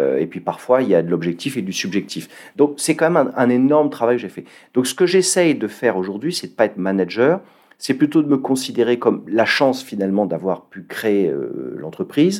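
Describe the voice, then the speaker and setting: Vocal fry marks a man's medium-pitched voice as he moves at a fairly quick pace with very wide pitch swings. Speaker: entrepreneur. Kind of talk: interview. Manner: halting.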